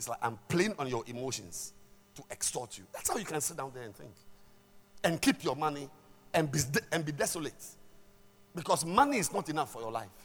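Fairly quick and animated, a man talks at a fairly high pitch. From Ghana. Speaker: pastor. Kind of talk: sermon. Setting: church.

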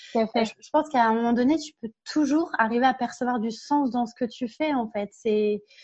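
Speaking at a moderate pace with hardly any pauses, a woman with a high pitch shows big swings in loudness. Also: ordinary pitch variation. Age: 30s. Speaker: workplace happiness consultant and speaker. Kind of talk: interview.

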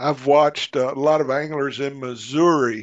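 The speaker has a Southern US accent and talks at a very slow pace. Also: man. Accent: Southern American. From US South (Arkansas). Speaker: magazine editor and outdoor writer. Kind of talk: casual interview chat.

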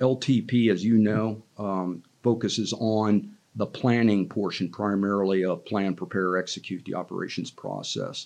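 A man speaks in an ordinary speaking voice, fairly low in pitch, at a fairly slow pace with fairly even intonation. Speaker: retired army general, training mentor. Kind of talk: interview podcast.

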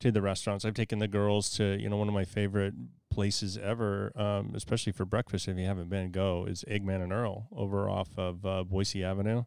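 A man with an American accent talks at a fairly low pitch and a fairly quick pace, with hardly any pauses. His intonation stays monotone and flat on a very clean recording with a silent background. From Idaho, Idaho Falls. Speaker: commercial real estate broker. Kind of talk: casual interview. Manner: halting.

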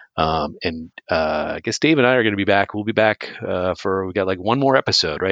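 With an American accent, a man speaks at a fairly quick pace in a fairly low pitch with lively intonation. He has an unremarkable speaking voice, and the sound is dry and close with no echo. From US Northeast. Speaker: podcast co-host. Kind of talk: casual chat.

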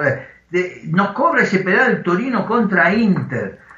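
The speech moves at a very slow pace. Noticeable background noise and audible room echo are present. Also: man. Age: 60s. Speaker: football journalist. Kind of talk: interview.

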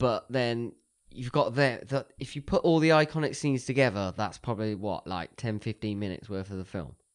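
A man with a southern English accent at a fairly quick pace, lively intonation and a quiet background behind him. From Oxfordshire, southern England. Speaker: podcast co-host. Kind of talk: casual chat; reading aloud.

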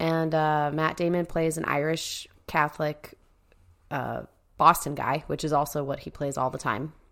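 A woman's very deep, low voice, monotone and flat, at a moderate pace. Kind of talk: casual banter and games. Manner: joking, sarcastic, profane.

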